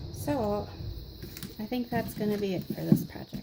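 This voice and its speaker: A soft-spoken woman talks at a fairly high pitch with ordinary pitch variation over noticeable background noise. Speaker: craft tutorial host. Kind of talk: tutorial.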